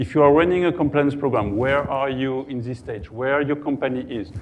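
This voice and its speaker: A man with a medium-pitched voice and a French accent. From France. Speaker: cybersecurity compliance consultant. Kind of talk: conference talk. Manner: halting.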